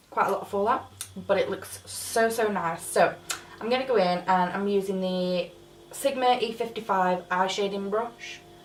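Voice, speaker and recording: Speaking at a moderate pace in a medium pitch with fairly even intonation, a woman is heard amid audible room echo and noticeable background noise. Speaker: beauty YouTuber. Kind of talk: makeup tutorial review.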